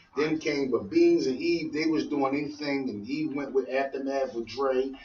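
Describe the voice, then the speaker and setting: A man speaks at a moderate pace and a fairly high pitch, his intonation fairly even. Background noise is noticeable. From Philadelphia. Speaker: rapper. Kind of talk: radio interview.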